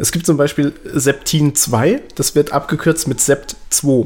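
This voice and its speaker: Fairly high in pitch, a man talks. His pace is very slow. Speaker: podcast co-host. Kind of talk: casual chat. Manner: repeats words, halting.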